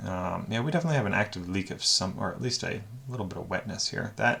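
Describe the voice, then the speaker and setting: A man speaks at a fairly low pitch. His pace is very fast. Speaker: car reviewer. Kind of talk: unscripted auction review commentary. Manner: casual, thinking aloud with fillers.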